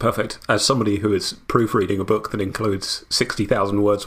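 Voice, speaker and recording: A man with a British accent talks at a fairly quick pace in a fairly low, somewhat breathy voice. His intonation is flat and monotone, and the very clean recording has a silent background. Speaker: historian and translator. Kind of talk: casual chat.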